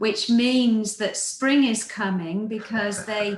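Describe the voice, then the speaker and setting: A woman with an English accent talks at a very slow pace, her fairly high pitch carrying fairly even intonation amid audible room echo. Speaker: nature photography show co-host. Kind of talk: casual chat. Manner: hesitant with many ums.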